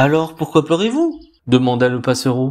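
This is a man with an unremarkable speaking voice and a fairly high pitch. He talks at a fairly slow pace. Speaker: storyteller reading a tale aloud. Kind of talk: dramatic narration of a fairy tale, with character voices. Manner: expressive and theatrical, changing voice for each character.

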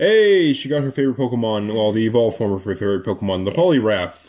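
Speaking fast with lively intonation, a man has a slightly mellow tone and a fairly low pitch.

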